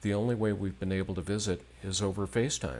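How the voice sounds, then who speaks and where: A man speaks with a fairly low pitch. It is a plain, everyday voice. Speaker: host of a live-stream show about Apple. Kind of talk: interview host. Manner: conversational, friendly.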